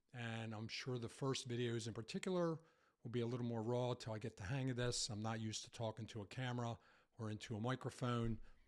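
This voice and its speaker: A man at a medium pitch and a very fast pace. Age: 60s. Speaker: vlogger. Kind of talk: casual monologue to camera. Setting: home podcast setup. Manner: hesitant with fillers.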